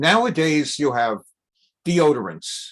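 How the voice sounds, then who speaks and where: A man with an American accent at a fairly high pitch, speaking at a fairly slow pace over a quiet background. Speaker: rabbi teaching Torah class. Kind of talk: lecture. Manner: conversational, with filler hesitations.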